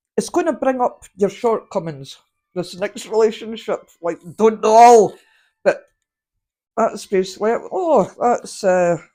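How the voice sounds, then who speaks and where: Speaking at a fairly slow pace in a Scottish accent, a woman with a fairly high pitch and a dark, mellow tone uses lively intonation on a very clean recording with a silent background. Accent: Scottish (Fife). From Scotland. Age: 50s. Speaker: tarot card reader. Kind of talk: tarot reading.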